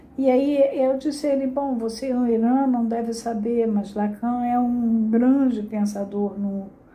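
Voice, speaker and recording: With a Carioca accent, a woman speaks fairly slowly at a fairly high pitch. Her intonation stays fairly even, and audible room echo fills the recording. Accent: Carioca (Rio de Janeiro). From Brazil, Rio de Janeiro. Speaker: psychoanalysis teacher. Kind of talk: lecture.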